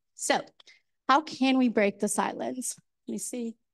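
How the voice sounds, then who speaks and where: A woman speaks at a moderate pace with a Colombian accent and a fairly high pitch. Her pitch varies in an ordinary way, and the background is quiet. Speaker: mental health educator. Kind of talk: panel presentation.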